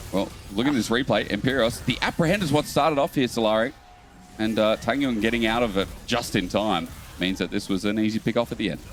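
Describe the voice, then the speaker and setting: Over music in the background, a man speaks very fast at a medium pitch with ordinary pitch variation. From Australia. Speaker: esports caster. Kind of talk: live commentary. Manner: animated.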